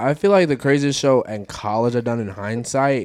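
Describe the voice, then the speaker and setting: A man with an American accent speaks at a medium pitch in a plain, everyday voice. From Michigan, Detroit. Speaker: rapper. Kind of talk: casual chat.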